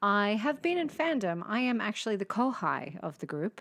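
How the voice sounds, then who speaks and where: With lively intonation, a woman speaks in an Australian accent. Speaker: podcast host. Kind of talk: casual chat.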